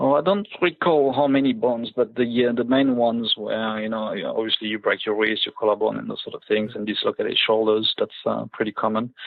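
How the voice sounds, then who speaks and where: In a French accent, a man talks at a fairly quick pace. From Ivory Coast, born in France. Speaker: motorbike rally racer. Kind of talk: interview. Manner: hesitant, many fillers.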